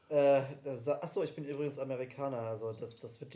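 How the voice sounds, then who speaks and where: A man with a medium-pitched voice talks very fast, his intonation fairly even. Noticeable background noise runs underneath. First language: English (speaking German). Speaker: podcast co-host. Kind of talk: casual chat.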